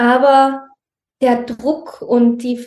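The woman's voice is high. She speaks in a flat, monotone way. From Austria, Tyrol near Innsbruck. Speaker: mother in a multilingual family. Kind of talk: interview conversation.

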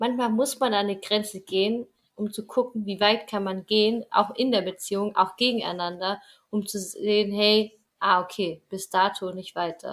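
With fairly even intonation, an ordinary speaking voice moves at a moderate pace. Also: woman. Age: 20s. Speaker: travel podcaster. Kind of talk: casual chat.

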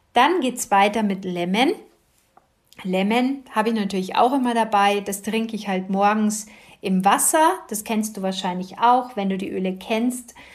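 A woman speaks in an unremarkable speaking voice, pitched fairly high. Her pace is moderate and her pitch variation ordinary. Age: 50s. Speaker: podcast host, kinesiologist and essential oils advisor. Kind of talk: casual monologue.

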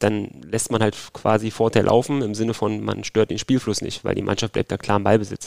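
A man talking at a very fast pace with vocal fry, on a very clean recording with a silent background. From Berlin, Germany. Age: 30s. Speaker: football referee. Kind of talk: interview. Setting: at home in Berlin.

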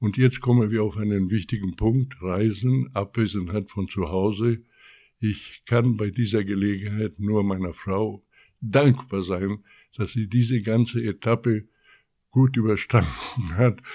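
The tone is dark and mellow, with ordinary pitch variation and a fairly slow pace. The recording is very clean, and the background is silent. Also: man, fairly low pitch for a man. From Chile. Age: 80s+. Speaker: retired company veteran. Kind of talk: interview.

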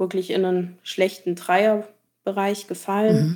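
A woman speaks in a monotone, flat intonation with a dark, mellow tone. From Allgäu, southern Germany. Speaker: cyberbullying survivor. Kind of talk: testimony.

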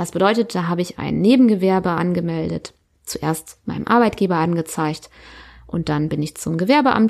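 A woman with a plain, everyday voice speaks at a moderate pace, her fairly low pitch showing ordinary pitch variation. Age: 30s. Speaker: podcast host, self-employed mother. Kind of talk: personal monologue. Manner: casual, filler-heavy.

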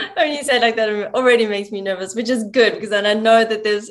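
Against noticeable background noise, a woman talks at a very fast pace with a fairly high pitch and fairly even intonation. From South Africa. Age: 40s. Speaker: yoga teacher and coach. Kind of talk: casual chat.

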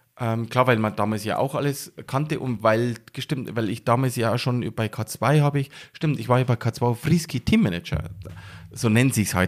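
The recording is very clean with a silent background. A man in a normal speaking voice talks at a moderate pace and medium pitch with ordinary pitch variation. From Bavarian Forest near Passau, Bavaria. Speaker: action sports photographer. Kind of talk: casual interview.

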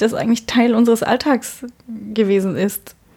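A woman's fairly high voice stays monotone, with flat intonation throughout. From Berlin, Germany. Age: 40s. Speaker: gynecologist, head physician. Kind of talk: casual interview. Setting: on-call room in a hospital.

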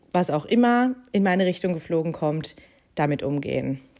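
A woman talks at a moderate pace. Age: 30s. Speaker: podcast host and life coach. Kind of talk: casual monologue. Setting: at home on sofa under a blanket. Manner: animated.

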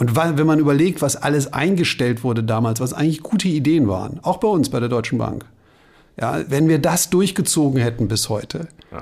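A man speaks at a fairly quick pace in a normal speaking voice. His intonation is lively. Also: fairly high pitch for a man. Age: 50s. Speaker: bank sustainability executive, former journalist. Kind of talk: interview conversation.

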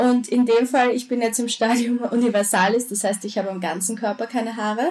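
At a fairly quick pace, a woman uses a normal speaking voice, fairly high in pitch, with fairly even intonation. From Austria. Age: 20s. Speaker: social media creator. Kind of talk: interview.

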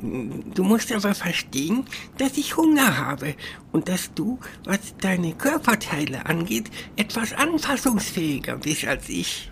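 A put-on character voice, female-sounding and middle-pitched, with very wide pitch swings, a fairly slow pace and clear background noise. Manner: chatty, cheeky, casual.

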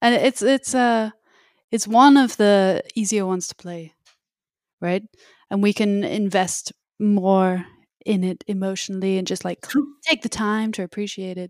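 Speaking with an English accent, a woman uses a medium pitch and a fairly slow pace with long, frequent pauses. The sound is dry and close with no echo, and the recording is very clean with a silent background. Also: ordinary pitch variation. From England. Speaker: musician and music teacher. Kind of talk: casual podcast chat.

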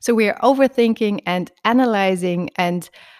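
On a very clean recording with a silent background, a woman speaks with a German accent. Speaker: relationship coach. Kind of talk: interview. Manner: halting.

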